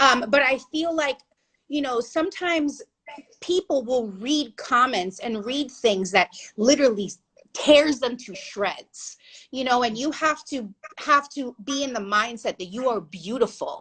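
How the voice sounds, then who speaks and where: A woman's loud, high voice with lively intonation, at a fairly slow pace. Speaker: plus-size model and body confidence activist. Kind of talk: interview. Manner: animated.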